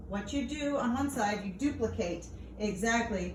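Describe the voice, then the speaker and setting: Heard through audible room echo and noticeable background noise, the speech proceeds at a fairly slow pace. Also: woman. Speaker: teacher. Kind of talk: lecture.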